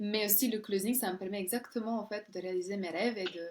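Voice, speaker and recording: Fairly even intonation at a moderate pace from a woman, medium in pitch. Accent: Serbian. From Serbia. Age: 30s. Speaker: closer, model, actress and coach. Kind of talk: interview. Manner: halting.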